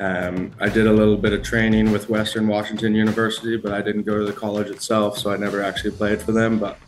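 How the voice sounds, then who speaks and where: Over noticeable background noise, a man with a fairly low pitch talks at a very fast pace in a monotone, flat way. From Northern Ireland. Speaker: rugby team captain. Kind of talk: interview. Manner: casual, some fillers.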